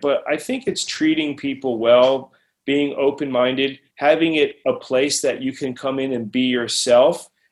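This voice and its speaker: An unremarkable speaking voice talks at a fairly slow pace. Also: man. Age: 40s. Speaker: music producer and recording engineer. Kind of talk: casual interview.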